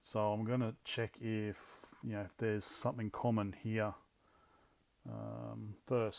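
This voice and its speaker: A man speaks in a fairly low voice. His delivery is fairly slow and monotone, with flat intonation. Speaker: electronics hobbyist YouTuber. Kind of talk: hands-on tutorial. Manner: halting, thinking aloud.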